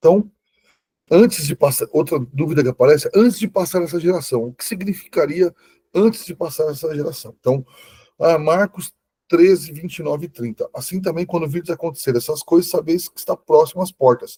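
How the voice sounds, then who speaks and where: A man with a dark, mellow tone talks at a fairly quick pace in a high pitch, with ordinary pitch variation. His loudness swings widely, and the sound is dry and close with no echo. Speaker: Bible teacher. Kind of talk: online lecture.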